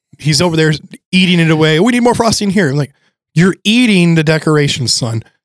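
This man uses a normal speaking voice with a fairly high pitch and lively intonation. He talks at a fairly quick pace. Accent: American. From Michigan, US (Thumb area). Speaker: pastor. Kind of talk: casual chat.

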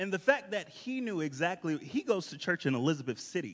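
With an American accent, a man speaks in a fairly bright tone.

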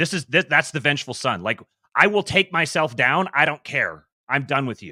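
A man with a fairly high pitch, vocal fry, a bright, sharp tone and lively intonation at a moderate pace, in a dry, close sound with no echo on a very clean recording with a silent background. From US West Coast, Seattle area. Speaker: YouTube channel host, businessman. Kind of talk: casual chat.

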